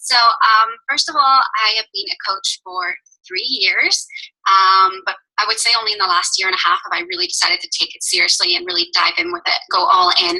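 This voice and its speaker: Speaking with a Northern Irish accent, a woman uses a fairly high pitch and very wide pitch swings. She moves at a fairly quick pace. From Northern Ireland. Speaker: fitness coach. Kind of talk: team call talk.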